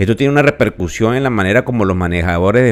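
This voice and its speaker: Lively intonation marks this man's fairly quick pace. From Venezuela. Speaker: financial podcast host. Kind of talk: podcast market commentary. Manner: conversational with filler hesitations.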